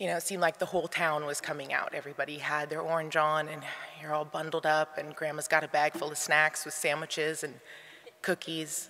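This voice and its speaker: A woman's very deep, low voice at a fairly quick pace, monotone and flat, with noticeable background noise. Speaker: grandchild giving eulogy. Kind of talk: eulogy. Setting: memorial service in arena. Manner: loud.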